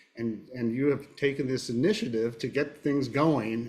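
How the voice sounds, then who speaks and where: A man with an American accent talks at a moderate pace, holding a medium pitch with ordinary pitch variation. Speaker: podcast host, diagnostics specialist. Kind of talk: podcast panel discussion.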